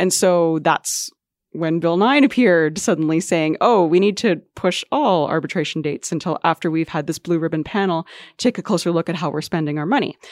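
In a very clean recording with a silent background and a dry, close sound without echo, a woman speaks fairly quickly in an ordinary speaking voice, fairly low in pitch with ordinary pitch variation. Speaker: education reporter. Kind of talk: casual panel discussion.

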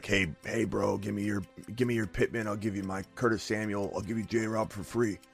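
A man puts on a raspy character voice, fairly low in pitch and at a fairly quick pace, with clear music in the background. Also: fairly even intonation. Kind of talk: casual slang. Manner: persuasive, casual, bro-ish.

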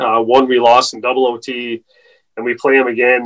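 A man speaks at medium pitch and a moderate pace. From Newfoundland, Canada. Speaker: athletic therapist for a hockey team. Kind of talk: casual interview.

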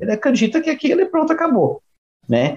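The pitch of this man's voice swings very widely. He talks at a fairly quick pace. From Brazil. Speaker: podcast co-host. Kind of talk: casual chat.

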